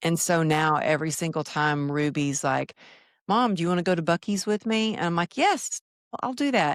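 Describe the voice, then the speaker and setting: A woman with a Texas accent talks at a moderate pace, her pitch fairly low and her intonation lively. The recording is very clean with a silent background, and the sound is dry and close with no echo. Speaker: former fitness trainer, speaker. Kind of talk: podcast interview.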